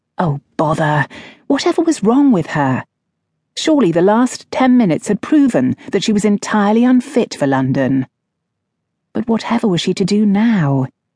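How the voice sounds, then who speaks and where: This woman has a medium pitch, a dark, mellow tone, a somewhat breathy quality and very wide pitch swings at a moderate pace. Her loudness is very even, and the sound is dry and close with no echo. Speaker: audiobook narrator. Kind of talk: dramatic audiobook narration of a historical romance, with character voices.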